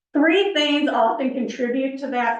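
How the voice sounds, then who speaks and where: A loud, high-pitched woman's voice with ordinary pitch variation and audible room echo. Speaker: planning consultant. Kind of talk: public presentation. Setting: council meeting with audience.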